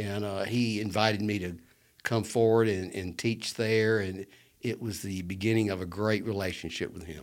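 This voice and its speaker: On a very clean recording with a silent background, a man with an Alabama accent speaks at a moderate pace, fairly low in pitch with fairly even intonation. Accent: US Southern (Alabama). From Birmingham, Alabama. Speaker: lawyer and political figure. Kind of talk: casual interview chat.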